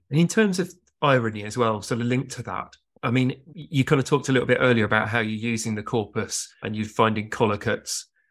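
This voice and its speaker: A man with a British accent talks at a very fast pace and a medium pitch. His loudness swings widely while his pitch varies in an ordinary way. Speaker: podcast co-host. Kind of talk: interview and discussion.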